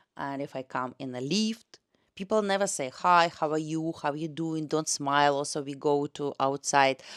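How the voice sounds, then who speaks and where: A Russian accent at a fairly slow pace, with ordinary pitch variation, on a very clean, dry, close recording with no echo and a silent background. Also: woman. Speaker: tour guide and language teacher. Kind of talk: casual vlog talk. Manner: halting with fillers.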